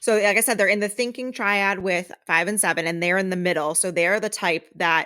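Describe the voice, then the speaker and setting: A woman speaks loudly at a fairly quick pace, with hardly any pauses, in a bright, sharp tone. Her pitch is medium with ordinary variation, and the recording is very clean against a silent background. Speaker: podcast co-host. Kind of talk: reading aloud; casual chat.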